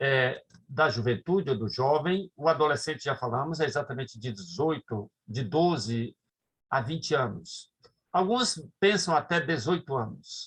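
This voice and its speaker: This man's fairly high voice is somewhat breathy and has lively intonation. He speaks at a fairly slow pace. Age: 60s. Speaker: pastor. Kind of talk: lecture. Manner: halting.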